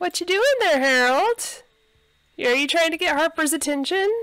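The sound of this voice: At a moderate pace, a woman speaks with a high pitch, a fairly bright tone and ordinary pitch variation.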